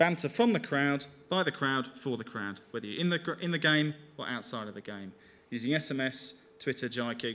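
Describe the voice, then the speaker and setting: This man speaks with a Birmingham accent in a bright, sharp tone at a fairly high pitch. His intonation is lively and his pace fairly quick. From England, Birmingham. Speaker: digital media executive. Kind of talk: conference talk.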